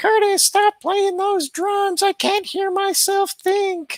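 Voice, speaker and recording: This is a put-on character voice at an extremely high pitch. It moves along at a fairly slow pace. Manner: scolding, exasperated.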